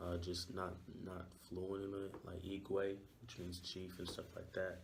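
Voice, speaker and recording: A man speaks in a very deep, low, somewhat breathy voice with monotone, flat intonation. Room echo is audible. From Nigeria, Lagos. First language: Yoruba. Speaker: university student. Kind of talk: interview. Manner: hesitant, many fillers.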